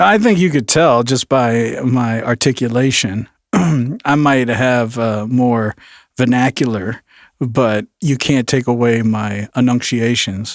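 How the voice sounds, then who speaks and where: In a very clean recording with a silent background, a man speaks at a very slow pace with a dry, close sound and no echo. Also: medium pitch for a man, ordinary pitch variation. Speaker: podcast host. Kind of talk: casual chat.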